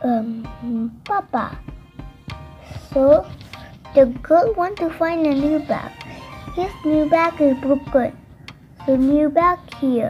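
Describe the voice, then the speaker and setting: The speech moves at a very slow pace with long, frequent pauses. Faint music plays in the background. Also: woman, high pitch for a woman. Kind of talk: casual vlog narration. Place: shop. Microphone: phone near.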